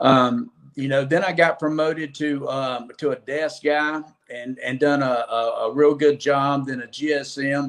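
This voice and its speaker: A man with an Alabama accent speaks at a fairly high pitch with fairly even intonation. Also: fairly slow pace. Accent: Southern US (Alabama). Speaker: former car dealer, construction sales. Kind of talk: podcast interview.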